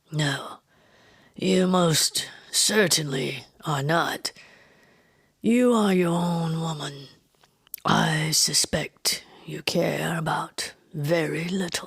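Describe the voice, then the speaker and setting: A woman puts on a raspy character voice, pitched fairly low, with ordinary pitch variation. She talks at a very slow pace. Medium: read story. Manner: calm, measured, mesmerizing.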